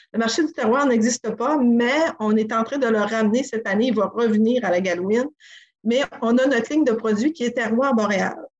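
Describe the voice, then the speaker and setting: The speech moves at a moderate pace with very even loudness and ordinary pitch variation. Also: woman, fairly high pitch for a woman. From Quebec, Côte-Nord (Sacré-Cœur). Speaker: inn and restaurant co-owner. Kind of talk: interview. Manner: halting.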